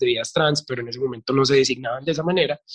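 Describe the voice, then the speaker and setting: This man has an ordinary speaking voice with fairly high pitch. His pitch variation is ordinary. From Colombia, Medellín. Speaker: drag artist and makeup teacher. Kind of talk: casual interview.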